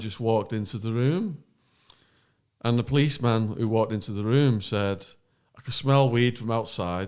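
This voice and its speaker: Here a man with an English accent talks at a moderate pace. His pitch is medium, with ordinary variation. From northern England, Widnes. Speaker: former drug smuggler, true crime podcaster. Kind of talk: casual chat. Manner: animated.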